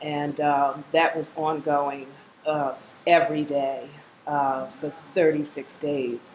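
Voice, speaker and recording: A woman's very deep, low voice, very slow and monotone, with flat intonation. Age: 60s. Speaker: cancer survivor. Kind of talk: testimony.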